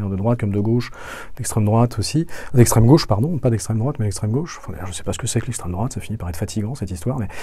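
A man is speaking here. There is noticeable background noise. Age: 40s. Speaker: podcast guest, descendant of a noble family. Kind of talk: interview conversation. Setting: studio. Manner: hesitant, many repetitions.

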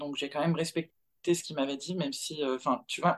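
A woman talks with fairly even intonation in a very deep, low voice. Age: 30s. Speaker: mother sharing her experience. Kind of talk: testimony.

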